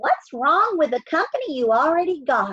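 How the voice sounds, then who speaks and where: Doing a put-on character voice in a Western US accent, a woman sounds squeaky and high-pitched, her pitch swinging very widely at a moderate pace. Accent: folksy Western drawl. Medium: read story.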